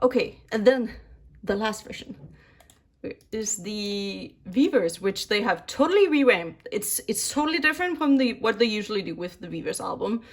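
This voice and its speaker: Speaking with a Danish accent, a woman has a fairly high pitch, a somewhat breathy voice, lively intonation, and an animated tone. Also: moderate pace, big swings in loudness. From Denmark. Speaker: K-pop album collector YouTuber. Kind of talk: casual chat.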